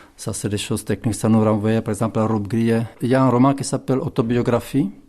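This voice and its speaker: A man with a Czech accent, dark and mellow in tone, at a very fast pace. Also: medium pitch for a man, fairly even intonation. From Czech Republic, southern Bohemia (Tábor). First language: Czech (speaking French). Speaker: writer. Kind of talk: interview. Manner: halting, many fillers and repetitions.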